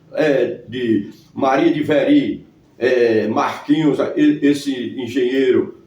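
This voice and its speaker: A man speaks at a very slow pace and at a very even loudness, over noticeable background noise. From Brazil, Northeast (Paraíba sertão). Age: 60s. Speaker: local historian. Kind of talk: interview. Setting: at his home.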